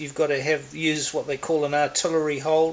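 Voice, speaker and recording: Speaking at a fairly slow pace, a man with a New Zealand accent has a fairly high pitch. Noticeable background noise sits behind him. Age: 60s. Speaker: air rifle hobbyist reviewer. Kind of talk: casual product review. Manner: halting, many fillers.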